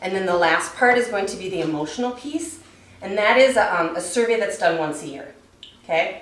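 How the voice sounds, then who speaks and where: A woman talks at a fairly quick pace in a fairly low pitch with lively intonation, amid noticeable background noise and audible room echo. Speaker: wellness program trainer. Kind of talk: staff training presentation. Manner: fast.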